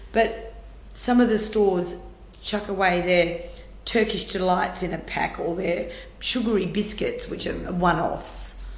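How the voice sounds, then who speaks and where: Over noticeable background noise and audible room echo, a woman speaks in an Australian accent. Her pitch is medium and her intonation fairly even. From Western Australia, rural Wheatbelt. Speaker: food rescue charity manager. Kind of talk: interview conversation.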